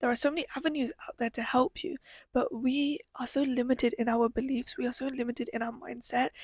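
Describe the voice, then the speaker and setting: A high-pitched woman with a British accent and an animated tone, at a very fast pace, in a dry, close sound with no echo. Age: 20s. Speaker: podcaster. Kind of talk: personal monologue. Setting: live stream from bedroom.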